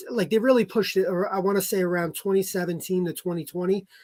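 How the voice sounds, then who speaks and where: A man with a high pitch and an American accent, speaking at a fairly quick pace with fairly even intonation. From New Jersey. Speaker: car salesman. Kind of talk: podcast interview. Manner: halting.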